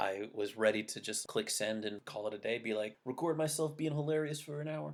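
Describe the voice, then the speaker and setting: This voice has a Californian accent, a fairly quick pace and ordinary pitch variation. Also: man. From California, near Monterey Bay. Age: 30s. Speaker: podcast host. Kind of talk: casual solo podcast monologue. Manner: pauses and stammers.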